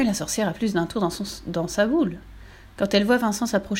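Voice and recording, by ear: The speaker is reading aloud in a natural voice, with pitch that moves by ordinary amounts.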